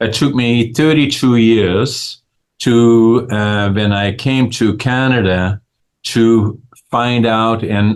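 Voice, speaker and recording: Against a quiet background, a man with a Dutch accent, fairly low pitch, fairly even intonation and a very slow pace. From Netherlands. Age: 80s+. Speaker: businessman and author. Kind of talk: interview. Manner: halting, many fillers.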